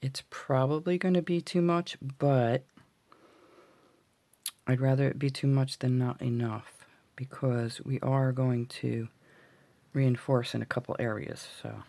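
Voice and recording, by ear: This woman speaks at a fairly slow pace with long, frequent pauses, her gravelly, extremely low voice carrying a dark, mellow tone and fairly even intonation.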